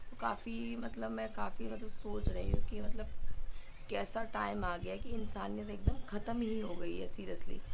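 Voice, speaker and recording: Room echo is audible as a woman talks at a moderate pace. There is noticeable background noise too. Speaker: school teacher vlogger. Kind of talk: casual vlog. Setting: walking outdoors to school.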